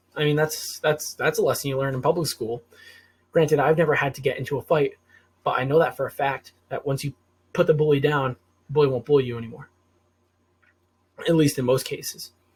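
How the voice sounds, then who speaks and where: On a very clean recording with a silent background, a man with an American accent talks at a fairly quick pace yet leaves long, frequent pauses, his fairly high, somewhat breathy voice held to monotone, flat intonation. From US Northeast, Rhode Island. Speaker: political commentary vlogger. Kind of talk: unscripted solo monologue. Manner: hesitant, filler-heavy, some stuttering.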